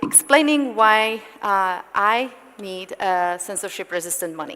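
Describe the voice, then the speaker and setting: A woman with a Czech accent talks at a fairly slow pace. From Czech Republic. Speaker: panel moderator. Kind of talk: panel discussion. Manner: halting, many fillers.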